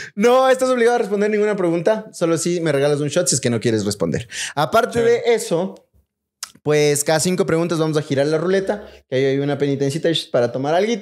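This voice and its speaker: Speaking very fast in a quiet setting, a man uses a high voice that swings very widely in pitch. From Ecuador. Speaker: podcast host. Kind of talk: casual chat. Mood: playful, joking. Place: home room. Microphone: studio mic.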